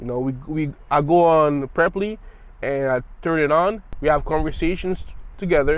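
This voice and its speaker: This man's voice sits fairly high, with ordinary pitch variation, and he talks at a moderate pace. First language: French (bilingual with English). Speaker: language learning vlogger. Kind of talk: casual talk to camera. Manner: halting, with repetitions and filler words.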